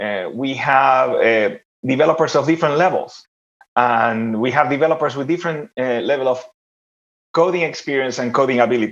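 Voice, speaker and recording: A man with an Argentine accent at medium pitch, ordinary pitch variation and a fairly quick pace. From Argentina. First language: Spanish. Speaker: developer relations executive. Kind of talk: panel discussion. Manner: halting, many fillers.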